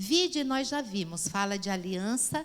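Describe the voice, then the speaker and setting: A woman with an ordinary speaking voice talks at a fairly slow pace with lively intonation. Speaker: pastor and Bible teacher. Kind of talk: Bible class lecture.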